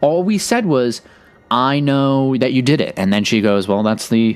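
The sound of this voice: A man at medium pitch with a clear, smooth tone, ordinary pitch variation and a fairly slow pace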